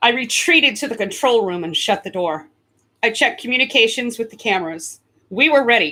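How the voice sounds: Over a quiet background, the intonation of this natural reading voice is lively.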